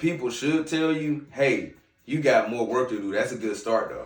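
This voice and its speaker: With a slight Southern accent, a man speaks at a moderate pace in a fairly high pitch with ordinary pitch variation, and room echo can be heard. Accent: slight southern twang. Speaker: podcast host. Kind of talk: casual commentary. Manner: casual, conversational.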